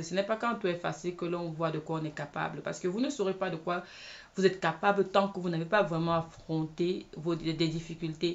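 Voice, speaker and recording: Fairly low-pitched female speech, fairly even in intonation, at a moderate speed. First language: not English (speaking French). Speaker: video blogger and film set worker. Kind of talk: personal testimony vlog. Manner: hesitant, with many fillers.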